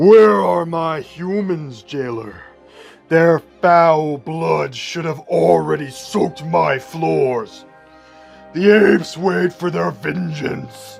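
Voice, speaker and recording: Faint music plays in the background as a growling, put-on character voice at a middle pitch speaks at a very slow pace. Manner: growling, menacing.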